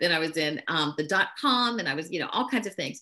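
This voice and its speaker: Very wide swings in pitch run through a woman's speech. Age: 60s. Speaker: business leader and network marketer. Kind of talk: interview.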